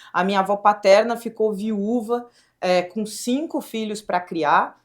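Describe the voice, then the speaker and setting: In a southern Brazilian accent, a woman with a fairly high pitch speaks in an animated tone at a fairly slow pace, with ordinary pitch variation. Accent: gaúcho. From southern Brazil, Rio Grande do Sul (Pelotas). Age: young. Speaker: state government secretary, former tech executive. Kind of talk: podcast interview.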